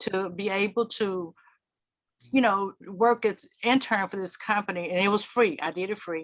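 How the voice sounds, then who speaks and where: Speaking at a moderate pace with an American accent, a woman uses medium pitch and ordinary pitch variation over a quiet background. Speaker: public relations executive. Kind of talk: panel discussion.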